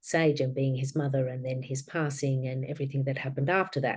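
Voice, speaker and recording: Very deep, low pitch from a woman, with a dark, mellow tone at a moderate pace. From Australia. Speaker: author and grief guide. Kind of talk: interview.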